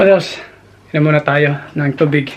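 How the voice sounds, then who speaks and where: Noticeable background noise runs beneath a man who talks very fast. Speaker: vlogger. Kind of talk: casual vlog narration.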